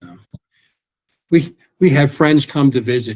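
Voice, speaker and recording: A man's voice comes through somewhat breathy. His pitch varies in an ordinary way. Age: 70s. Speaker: army veteran and weight-loss success story guest. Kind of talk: interview. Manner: halting, with many repetitions.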